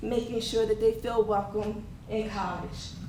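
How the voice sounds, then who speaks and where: A woman speaks in a shaky, fairly high voice. Audible room echo and noticeable background noise fill the recording. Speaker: academic advisor and instructor. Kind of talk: conference presentation.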